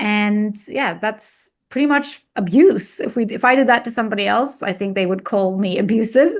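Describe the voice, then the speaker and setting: A woman speaks at a moderate pace with hardly any pauses, her pitch fairly high. Her pitch variation is ordinary, and the background is quiet. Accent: Arabic. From Egypt. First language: Arabic. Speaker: weight loss coach. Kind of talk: interview testimony.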